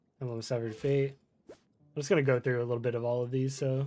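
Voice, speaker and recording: Speaking at a very fast pace, a man has a slight Florida accent. His medium-pitched voice has a dark, mellow tone. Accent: slight Florida accent, others have noticed it. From Florida, US. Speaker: gaming streamer. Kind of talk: casual live-stream chat. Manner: relaxed, many fillers and hesitations.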